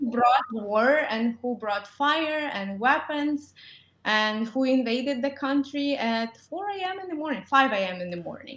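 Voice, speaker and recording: This woman has a high pitch and lively intonation, speaking with a Ukrainian accent. Her pace is fairly slow. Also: big swings in loudness. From Ukraine. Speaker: dentist. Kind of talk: interview. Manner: halting, many fillers.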